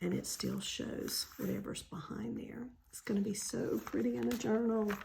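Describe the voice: Audible room echo surrounds a woman's fairly high voice, slightly mellow in tone, with vocal fry and fairly even intonation. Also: moderate pace.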